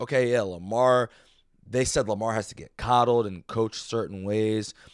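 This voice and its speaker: The man speaks at a moderate pace. His tone is animated. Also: very clean recording, silent background. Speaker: sports podcaster. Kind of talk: casual sports talk.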